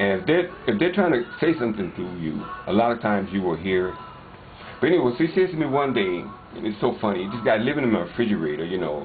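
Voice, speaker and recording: Music plays behind a man who speaks at a very fast pace with a fairly low pitch and very wide pitch swings. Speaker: paranormal video uploader. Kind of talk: casual narration of video footage.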